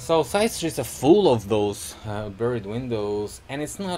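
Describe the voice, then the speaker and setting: The man's delivery is fairly slow. He has a dark, mellow tone. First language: Russian. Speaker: video blogger. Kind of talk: casual commentary to camera. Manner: halting, many fillers.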